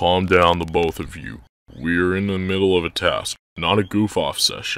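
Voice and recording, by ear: A man performs a cartoonish character voice at a moderate pace. His pitch is very deep and low.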